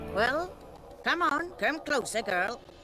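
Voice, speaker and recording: A female-sounding, put-on character voice pitched high comes through with clear background noise. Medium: video game. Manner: gruff, archaic.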